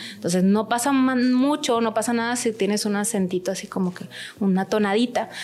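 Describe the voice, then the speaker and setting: A woman with a plain, everyday voice talks at a moderate pace with ordinary pitch variation. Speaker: language school director and translator. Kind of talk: interview.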